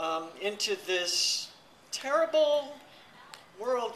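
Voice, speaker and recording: The pace is very slow. Noticeable background noise runs underneath. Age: 60s. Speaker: author and speaker. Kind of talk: speech on a reunion panel. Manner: casual, joking.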